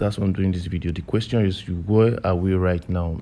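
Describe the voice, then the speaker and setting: A dark, mellow tone with fairly even intonation, in a very clean recording with a silent background. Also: man. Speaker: forex trading educator. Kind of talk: tutorial. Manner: fast; informal, repetitive fillers.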